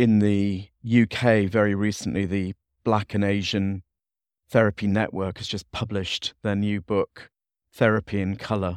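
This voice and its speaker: A man speaks in a monotone, flat intonation. The sound is dry and close with no echo, on a very clean recording with a silent background. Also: fairly low pitch for a man, moderate pace. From Leeds, northern England. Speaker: psychotherapist and trainer. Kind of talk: panel discussion. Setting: in-person recording, Dublin.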